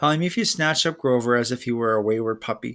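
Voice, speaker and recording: Putting on a growling character voice, a man talks at a moderate pace with lively intonation. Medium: read story. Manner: growling, broken grammar.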